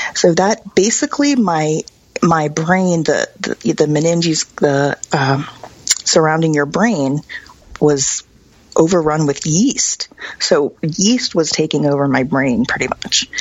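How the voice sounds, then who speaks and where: A woman talks at a very slow pace in a very deep, low pitch, with ordinary pitch variation, very even loudness and noticeable background noise. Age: 40s. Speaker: medical cannabis advocate. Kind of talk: interview.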